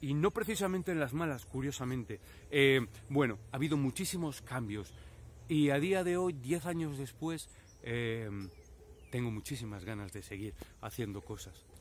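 A man speaks at a moderate pace with lively intonation, somewhat breathy, with long, frequent pauses, light background noise and a dry sound with no echo. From Spain, Valladolid; Spain. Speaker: YouTuber with multiple sclerosis. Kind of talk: personal reflection to camera. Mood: reflective, personal. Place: open country. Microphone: phone near.

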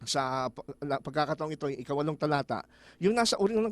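This man talks at a very fast pace with a fairly high pitch and lively intonation. The sound is dry and close, with no echo. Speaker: Bible study teacher. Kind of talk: Bible study discussion.

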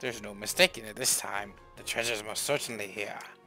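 Over clear background music, a man rattles off lines at a very fast pace in a put-on character voice with a fairly low pitch. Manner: gruff, theatrical.

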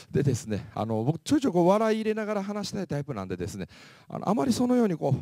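A man's dark, mellow tone at a very fast pace, with very wide pitch swings, in a very clean recording with a silent background. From Japan, Mie Prefecture (Kansai-type dialect). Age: 40s. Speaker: motivational speaker. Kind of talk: lecture.

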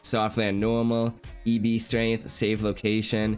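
Over faint background music, a man talks at a fairly slow pace in a nasal, clear, smooth and slightly mellow tone with monotone, flat intonation.

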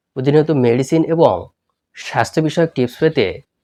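Lively intonation runs through a man's plain, everyday voice. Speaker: health YouTuber. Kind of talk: channel promo; tutorial.

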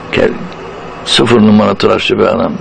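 Words come at a moderate speed while noticeable noise runs in the background. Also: man. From Turkey. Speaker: stage and voice actor. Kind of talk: anecdotal interview storytelling.

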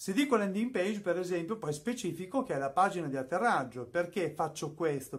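This man's voice sits high and swings very widely in pitch. He talks at a fairly quick pace. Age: 50s. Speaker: YouTuber and music producer; YouTuber. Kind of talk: tutorial. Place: studio.

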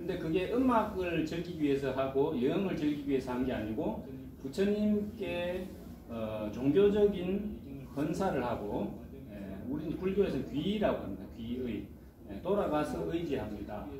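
Very wide pitch swings at a fairly slow pace against noticeable background noise. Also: man. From South Korea. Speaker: Buddhist monk and chant master. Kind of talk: lecture. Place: classroom. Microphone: phone near.

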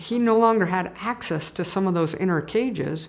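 A woman with an unremarkable speaking voice talks at a moderate pace with ordinary pitch variation. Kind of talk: interview answer. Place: studio.

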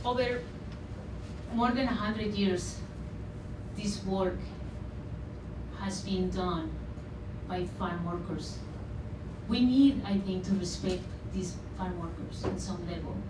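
A woman's voice at a very slow pace over noticeable background noise. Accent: Spanish. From Sinaloa, Mexico. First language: Spanish. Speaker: artist and radio producer. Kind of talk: public talk. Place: hall.

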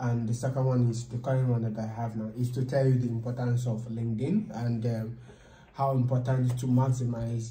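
Against audible room echo and light background noise, a man with a Nigerian accent speaks at medium pitch, somewhat breathy, in a dark, mellow tone with monotone, flat intonation. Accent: Nigerian English (Igbo). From Nigeria, Enugu State. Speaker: data science student. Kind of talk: casual chat; informal interview conversation. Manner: halting. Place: meeting room. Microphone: camera far.

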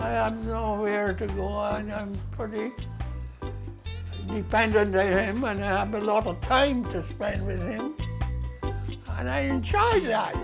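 A man speaks very slowly while clear music plays behind him. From Barbados. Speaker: centenarian interviewee. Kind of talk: interview answer. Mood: calm, devout. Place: home room.

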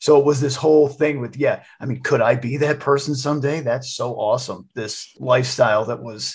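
A man with an American accent speaks at a medium pitch and moderate pace, somewhat breathy and fairly even in intonation, with hardly any pauses. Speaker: podcast co-host. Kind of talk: casual chat.

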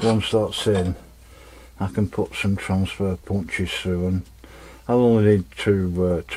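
At a fairly slow pace, a man speaks with fairly even intonation and a fairly low pitch. His tone is dark and mellow. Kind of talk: tutorial. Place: workshop. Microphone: camera far.

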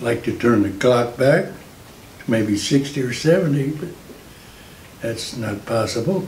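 A man's medium-pitched voice at a very slow pace, with lively intonation, long and frequent pauses, audible room echo and light background noise. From Indiana. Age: 80s+. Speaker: war veteran. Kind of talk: interview answer. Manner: hesitant, halting. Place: home room.

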